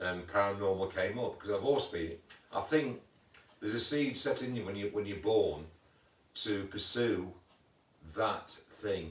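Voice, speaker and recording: Somewhat breathy and fairly low in pitch, a man speaks at a moderate pace with ordinary pitch variation and long, frequent pauses. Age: 60s. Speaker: paranormal investigator. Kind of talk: casual chat. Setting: livestream video. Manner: repetitive, halting.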